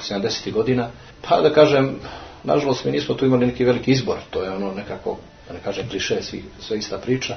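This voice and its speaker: Someone speaks at a very fast pace with a Montenegrin accent and ordinary pitch variation. There is noticeable background noise. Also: man, medium pitch for a man. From Montenegro, Podgorica. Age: 40s. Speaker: Orthodox parish priest. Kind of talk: interview. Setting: monastery.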